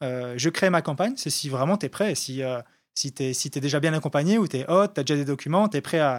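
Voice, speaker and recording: Very clean and silent in the background, this recording has a man speaking at a very fast pace. His voice is fairly high, with ordinary pitch variation. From France, Haute-Savoie (French Alps). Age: 30s. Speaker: entrepreneur, founder of a farm crowdfunding platform. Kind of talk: casual interview. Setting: studio.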